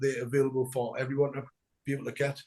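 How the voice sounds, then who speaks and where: A man with a Geordie accent talks very fast in a flat monotone, his fairly high voice somewhat breathy. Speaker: punk band frontman. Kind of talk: interview.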